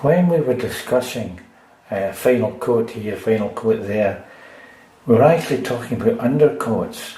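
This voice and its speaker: In a Scottish accent, the speaker talks at a moderate pace amid audible room echo and noticeable background noise. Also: man, medium pitch for a man, ordinary pitch variation. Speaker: DIY repair video maker. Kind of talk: tutorial. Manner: casual.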